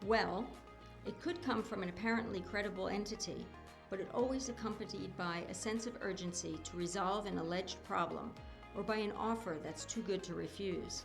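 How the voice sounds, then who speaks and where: A woman speaks at a moderate pace. Music plays behind her. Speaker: voice actor. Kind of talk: educational animation narration.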